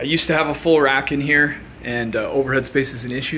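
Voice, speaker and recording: A man at a very fast pace, flat and monotone, with noticeable background noise. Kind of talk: casual tour narration. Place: home room. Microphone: phone near.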